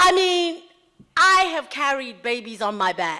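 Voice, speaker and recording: A woman projects a raised voice with a bright, sharp tone at a fairly slow pace, in a very clean recording with a silent background. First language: Xhosa. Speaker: pastor and speaker. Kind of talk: public talk. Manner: animated.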